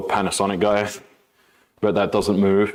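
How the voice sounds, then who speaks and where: This man's voice sits at a fairly low pitch, with an American accent. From Australia, Melbourne. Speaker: fitness streamer, personal trainer. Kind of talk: casual live-stream chat during workout.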